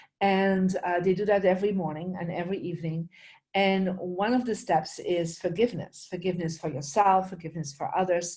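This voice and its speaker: Speaking fairly quickly with a Flemish accent, a woman has a medium-pitched, somewhat breathy voice, a dark, mellow tone and fairly even intonation. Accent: Flemish Belgian. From Belgium, Flemish region. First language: Dutch. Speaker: spiritual teacher and feng shui expert. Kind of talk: interview.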